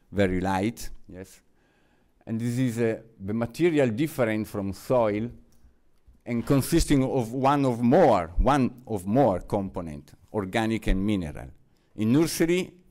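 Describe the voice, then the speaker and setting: In an Italian accent, a man at medium pitch talks with lively intonation on a very clean recording with a silent background. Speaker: researcher presenting findings. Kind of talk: conference presentation. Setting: seminar with audience. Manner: halting.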